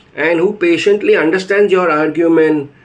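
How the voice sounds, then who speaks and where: High in pitch, a man's voice is heard amid noticeable background noise. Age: 50s. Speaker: patient. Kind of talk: testimony. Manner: halting.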